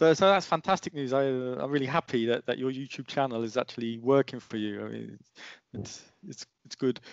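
A man's fairly quick delivery, with ordinary pitch variation and big swings in loudness, in a dry sound with no echo and a quiet background. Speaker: EV YouTuber. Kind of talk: casual chat. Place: home room. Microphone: headset.

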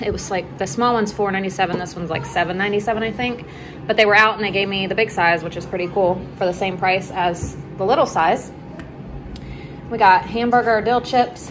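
The voice moves at a fairly quick pace with ordinary pitch variation. Noticeable background noise is present. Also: woman. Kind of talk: casual vlog chat. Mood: relaxed, cheerful. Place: home room. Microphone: phone near.

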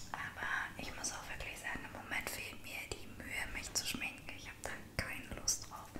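Whispering at a fairly slow pace, a woman speaks. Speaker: ASMR vlogger. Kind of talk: ASMR makeup routine talking to camera. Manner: soft, whispering. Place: home room.

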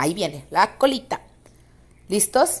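A woman's animated, lively-intoned voice with a Mexican accent, at a fairly slow pace. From Mexico, San Luis Potosí. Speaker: YouTuber. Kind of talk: video commentary.

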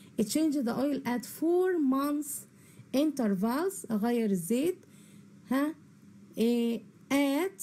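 Pausing long and often at a very slow pace, a woman with an Egyptian accent speaks at a high pitch, her tone dark and mellow, her intonation lively and her loudness very even. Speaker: English teacher. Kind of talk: lecture. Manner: repeats each word twice.

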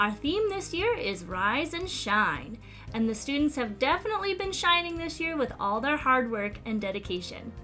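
Faint music plays in the background as a woman speaks at a moderate pace. Her voice is raised and projected. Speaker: event host. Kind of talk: scripted welcome announcement. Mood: warm, cheerful.

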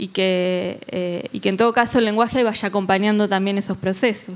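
A woman speaks in a normal speaking voice at a fairly high pitch. Her pace is fairly slow and her intonation fairly even. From Argentina. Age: 40s. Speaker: journalist and legislative official; journalist. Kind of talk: panel discussion. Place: hall. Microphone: handheld.

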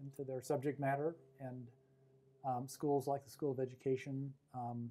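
A man's dark, mellow tone at a moderate pace. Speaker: professor interviewee. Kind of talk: interview answer. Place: office. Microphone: lapel.

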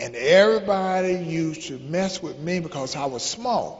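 Ordinary pitch variation at a fairly slow pace. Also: man. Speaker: motivational speaker. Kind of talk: motivational talk to youth. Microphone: handheld.

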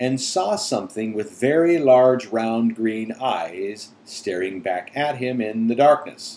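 Here, someone is reading aloud in a natural voice. Their intonation is lively.

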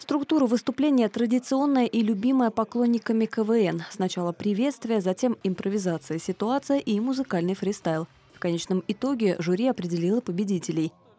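The voice has a dark, mellow tone and lively intonation at a moderate pace. The sound is dry and close with no echo, and the loudness is very even. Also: woman, fairly high pitch for a woman. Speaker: TV news reporter. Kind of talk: news report narration.

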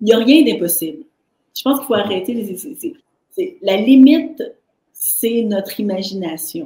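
Dark, mellow tone with very wide pitch swings and big swings in loudness, a moderate pace broken by long, frequent pauses, and audible room echo. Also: woman, fairly high pitch for a woman. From Haitian background. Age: 40s. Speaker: entrepreneur and artist; podcast guest. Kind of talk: interview. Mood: enthusiastic, encouraging. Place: home room.

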